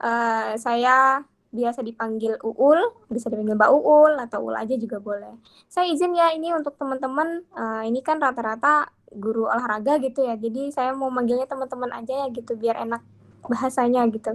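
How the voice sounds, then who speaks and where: This woman talks at a fairly quick pace with a high pitch and ordinary pitch variation. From Bengkalis, Riau, Indonesia. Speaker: workshop speaker on pantun poetry. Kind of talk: online workshop talk. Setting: video call. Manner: casual, filler-heavy.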